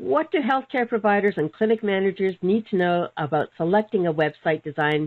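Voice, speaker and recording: This woman has an ordinary speaking voice. Her pitch sits in the medium range, and her intonation is lively. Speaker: webinar host, practice management mentor. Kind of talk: webinar interview.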